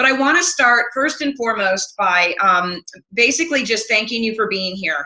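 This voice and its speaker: This woman speaks with an American accent. Her pitch is fairly high, and her intonation is lively. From US Midwest. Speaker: health coach trainer. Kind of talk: webinar presentation. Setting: online webinar. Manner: fast.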